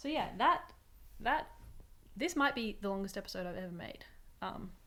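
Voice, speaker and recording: A woman with a fairly high pitch and a bright, sharp tone speaks at a moderate pace, with very wide pitch swings and big swings in loudness. There is audible room echo. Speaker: knitting podcaster. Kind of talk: casual chat.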